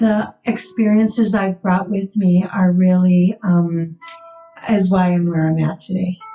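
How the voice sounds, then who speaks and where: A woman speaks at a medium pitch with a dark, mellow tone that is somewhat breathy. Her pace is moderate and her pitch variation ordinary. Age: 60s. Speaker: nurse practitioner. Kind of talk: casual chat.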